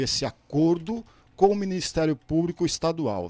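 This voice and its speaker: Fairly high for a man, this is an unremarkable speaking voice with lively intonation, moving at a fairly slow pace. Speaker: professor and political commentator. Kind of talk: radio commentary interview.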